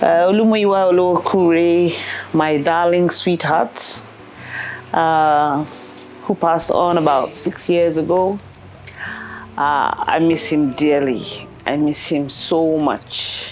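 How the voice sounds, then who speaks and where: Noticeable background noise sits under a woman speaking at a very slow pace, with long, frequent pauses. Her voice is fairly low in pitch, with fairly even intonation and very even loudness. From England. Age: 60s. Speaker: entrepreneur and mother. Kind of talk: personal interview. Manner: halting.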